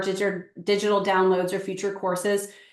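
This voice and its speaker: A woman at a medium pitch speaks at a fairly quick pace with monotone, flat intonation. Audible room echo surrounds her voice. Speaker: real estate agent and coach. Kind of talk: webinar sales pitch. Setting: live webinar.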